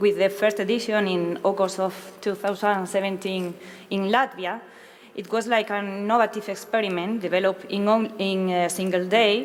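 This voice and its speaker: A woman's medium-pitched voice with a Spanish accent, fairly even intonation and a moderate pace, over noticeable background noise. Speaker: interpreter. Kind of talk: consecutive interpreting. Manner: halting.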